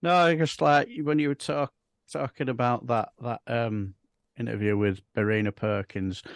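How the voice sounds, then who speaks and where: Lively intonation marks a man's medium-pitched voice with a West Yorkshire accent. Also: moderate pace, dry, close sound with no echo, quiet background. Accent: broad Bradford. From northern England, Bradford. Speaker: political chat show co-host. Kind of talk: casual political chat.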